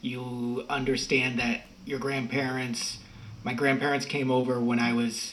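A man with an American accent talks at a moderate pace. Background noise is noticeable. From Massachusetts, US. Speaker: writer and podcaster. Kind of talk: casual interview conversation. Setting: video call from Spain.

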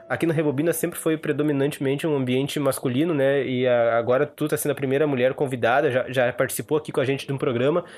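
A man at a fairly high pitch, very fast with hardly any pauses, fairly even in intonation and very even in loudness. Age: 20s. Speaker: film podcast host. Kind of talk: casual chat.

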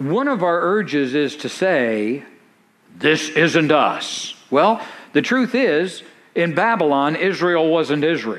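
With lively intonation and a fairly high pitch, a man speaks very slowly amid audible room echo. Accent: American. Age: 50s. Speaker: pastor. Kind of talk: sermon.

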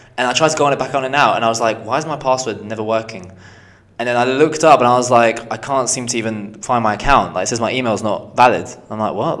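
Audible room echo surrounds a man's medium-pitched voice. He talks at a very fast pace. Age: 20s. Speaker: podcast co-host. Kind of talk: casual chat.

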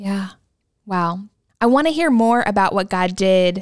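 An ordinary speaking voice from a woman at medium pitch and moderate pace, on a very clean recording with a silent background. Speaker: podcast host. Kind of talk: scripted intro then interview.

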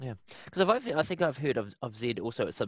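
Against a quiet background, a man with a New Zealand accent speaks at a very fast pace. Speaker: podcast host. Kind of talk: interview.

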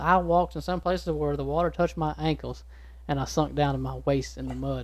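A man rattles along at a very fast pace with a Texan accent. The recording is very clean, the background silent. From East Texas. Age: 20s. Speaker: small business owner. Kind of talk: casual chat. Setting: studio.

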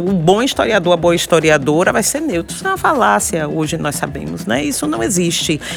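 A woman with a Bahian accent, fairly low in pitch, at a fairly quick pace, with very wide pitch swings and noticeable background noise. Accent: Bahian accent, marked. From Salvador, Bahia, Brazil. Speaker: historian and university professor. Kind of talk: interview conversation.

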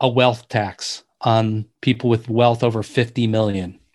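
A man with a Midwestern American accent at a fairly slow pace, monotone and flat in intonation, against a quiet background. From US Midwest, Detroit suburbs. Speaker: author and inequality researcher. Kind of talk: interview. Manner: hesitant, many fillers.

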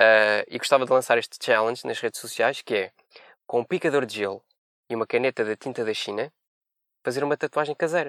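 Speaking at a fairly quick pace but with long, frequent pauses, a man uses medium pitch and ordinary pitch variation on a very clean recording with a silent background and a dry, close sound with no echo. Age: 20s. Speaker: veterinary student. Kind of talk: comedy segment with jokes.

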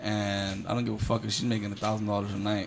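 The man's voice sits fairly low. His intonation is monotone and flat. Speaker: podcast host. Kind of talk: casual banter podcast chat.

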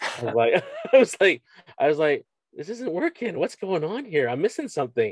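With a Canadian accent, a man speaks high-pitched at a moderate pace, his pitch swinging very widely, in a dry, close sound with no echo. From Canada, Scarborough, Ontario. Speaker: strength coach and university teacher. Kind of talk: casual interview chat. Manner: halting, many repeated words and fillers.

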